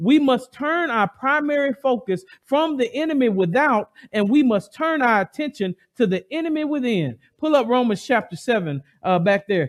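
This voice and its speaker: A man with an extremely high pitch speaks at a moderate pace, his tone animated and his intonation lively. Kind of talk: sermon, expository Bible teaching with call-and-response. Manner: animated, urgent, pleading with listeners to respond; conversational, pausing to ad-lib and draw in the congregation.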